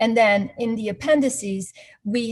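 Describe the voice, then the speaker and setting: A woman's somewhat breathy voice at a fairly slow pace, with ordinary pitch variation. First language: not English. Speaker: investment performance analyst. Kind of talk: webinar presentation. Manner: halting, searching for words.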